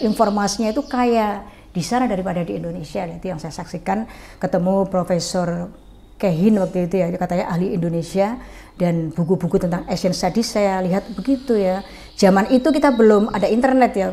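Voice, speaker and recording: With a dark, mellow tone and lively intonation, a woman speaks at a very fast pace. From Central Java, Pekalongan; Central Java, Indonesia. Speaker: former regent; guest. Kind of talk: interview. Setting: at home. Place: home room. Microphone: lapel.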